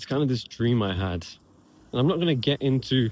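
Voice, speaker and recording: The speaker has an English accent. The delivery moves at a moderate pace. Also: man. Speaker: vlogger. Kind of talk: casual vlog monologue. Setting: outdoors, walking.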